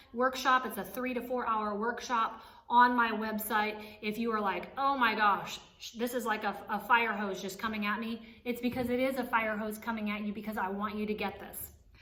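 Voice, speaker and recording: A woman's fairly high, monotone and flat voice over noticeable background noise. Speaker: author and life coach. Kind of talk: motivational teaching. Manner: fast.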